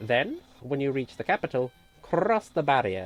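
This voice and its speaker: A woman is talking. She uses a put-on character voice. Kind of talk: comic overacting. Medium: game stream. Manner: grandiose, loud, self-important.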